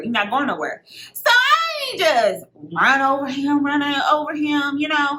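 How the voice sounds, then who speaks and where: In a Texan accent, a woman speaks at a very slow pace with a high pitch and a bright, sharp tone. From Texas. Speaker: beauty vlogger. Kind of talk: casual storytime talk to camera.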